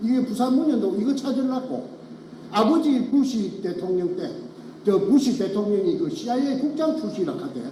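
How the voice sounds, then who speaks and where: Spoken with a strong Gyeongsang accent, the voice makes very wide pitch swings over noticeable background noise and audible room echo. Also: man. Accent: thick Gyeongsang dialect. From Gyeongsang region, Korea. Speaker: former elementary school teacher, whistleblower. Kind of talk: testimony. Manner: halting.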